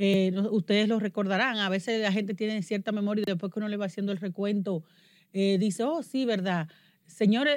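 A woman with an unremarkable speaking voice talks at a fairly quick pace and medium pitch with ordinary variation. Her recording is very clean, the background silent. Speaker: podcast host. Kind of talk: news commentary chat.

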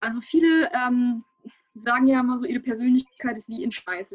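Over background music, a woman with a high voice talks with ordinary pitch variation, the sound dry and close with no echo. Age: 20s. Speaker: coaching client. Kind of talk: testimony interview. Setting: live online stream.

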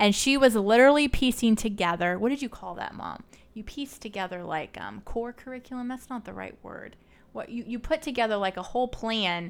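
At a fairly quick pace, a woman with an unremarkable speaking voice talks at a fairly high pitch with ordinary pitch variation and big swings in loudness. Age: 30s. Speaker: podcast host. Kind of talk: casual interview.

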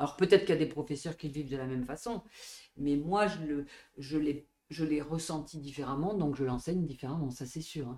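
A woman's very deep, low voice with a dark, mellow tone, at a fairly quick pace with long, frequent pauses and ordinary pitch variation. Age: 50s. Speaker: dance and Pilates teacher. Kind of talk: interview conversation.

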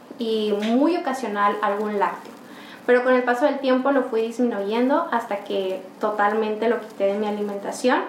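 Amid noticeable background noise and audible room echo, a woman speaks at a moderate pace with a fairly high pitch and ordinary pitch variation. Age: 20s. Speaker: medical intern and yoga teacher. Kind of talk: interview.

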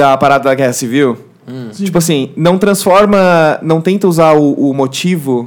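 A man speaks fairly high in pitch, with ordinary pitch variation, at a moderate pace. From southern Brazil. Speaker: YouTuber. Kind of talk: casual chat. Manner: animated.

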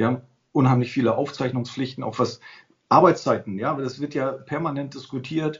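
A man speaking at a fairly quick pace, somewhat breathy, with fairly even intonation. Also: medium pitch for a man. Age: 50s. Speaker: tax adviser, association president. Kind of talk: expert interview.

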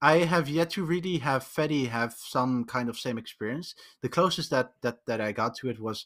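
Here a man speaks with a Dutch accent and ordinary pitch variation. His pace is moderate, and the recording is very clean with a silent background. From Netherlands. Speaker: podcast guest, programmer. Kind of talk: casual chat. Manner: halting, many repetitions.

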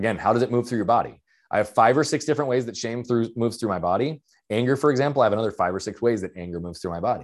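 On a very clean recording with a silent background, a man speaks very fast at a medium pitch with ordinary pitch variation. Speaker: mindset coach and speaker. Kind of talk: interview conversation. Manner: fast talker, loud.

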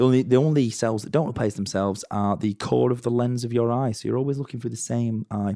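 The recording is very clean with a silent background, and the man's tone is dark and mellow. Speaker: podcast host. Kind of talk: casual chat.

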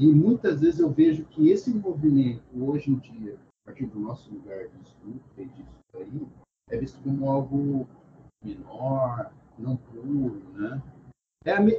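With lively intonation and big swings in loudness, a man talks at a very slow pace in a fairly high pitch. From Brazil, interior of São Paulo (Bauru). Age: 40s. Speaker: psychologist. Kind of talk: casual interview chat. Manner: hesitant, many fillers.

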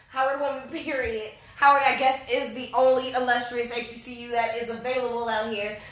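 A woman with a high pitch talks in a flat monotone with hardly any pauses, amid audible room echo. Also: moderate pace. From North Carolina. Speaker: podcast co-host. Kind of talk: casual chat. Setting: live recording in Atlanta.

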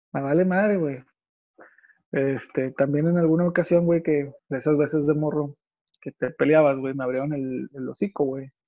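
This man's voice is fairly high in pitch. He talks at a moderate pace. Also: long, frequent pauses. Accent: Mexican. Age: 30s. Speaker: person living with psoriasis. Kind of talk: casual chat.

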